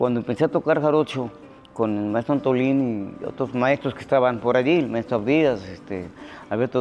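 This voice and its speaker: His pitch is medium and shifts in an ordinary way. The man's pace is moderate. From Veracruz, Mexico (Xalapa). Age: 60s. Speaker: musician. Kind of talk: interview testimony. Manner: hesitant, many fillers.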